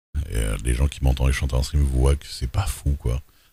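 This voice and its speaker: The speaker is male. His voice sits very deep and low in pitch. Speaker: streamer, roleplay gamer. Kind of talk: casual chat. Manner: hesitant, many fillers.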